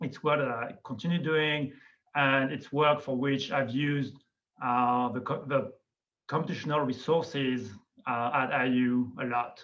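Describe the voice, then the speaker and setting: With a slight non-native accent, a man speaks fairly slowly at medium pitch with fairly even intonation, amid audible room echo. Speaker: biology professor. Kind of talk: lecture. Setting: video call.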